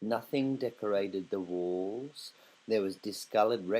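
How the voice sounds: A natural reading voice carries the whole clip.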